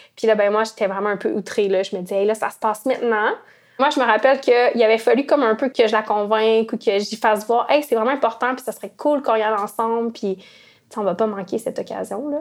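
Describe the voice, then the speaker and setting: A woman talks at a very fast clip. Her pitch sits fairly high, and her intonation stays fairly even. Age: 30s. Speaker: former youth marcher. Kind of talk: interview testimony.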